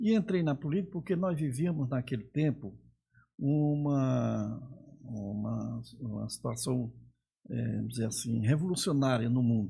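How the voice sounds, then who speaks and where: A man talks at a fairly slow pace in a dark, mellow, somewhat breathy voice with lively intonation. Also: medium pitch for a man. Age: 70s. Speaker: veteran politician. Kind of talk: interview conversation.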